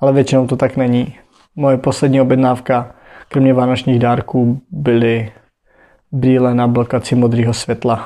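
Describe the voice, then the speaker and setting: At a moderate pace, a man speaks in a dark, mellow monotone with very even loudness. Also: medium pitch for a man. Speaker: podcaster. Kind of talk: casual monologue. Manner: halting.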